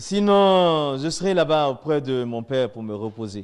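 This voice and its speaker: A man with lively intonation. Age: 50s. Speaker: former imam giving religious testimony. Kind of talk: testimony.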